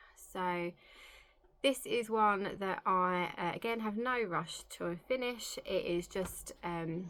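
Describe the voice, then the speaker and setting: A woman with a medium pitch talks very slowly, her pitch varying in an ordinary way. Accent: English. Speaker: cross-stitch vlogger. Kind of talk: casual show-and-tell vlog.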